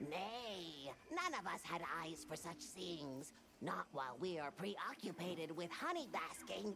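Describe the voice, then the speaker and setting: In a put-on character voice at a middle pitch, the speaker talks at a fairly slow pace with hardly any pauses over clear background noise. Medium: video game. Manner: quaint broken phrasing.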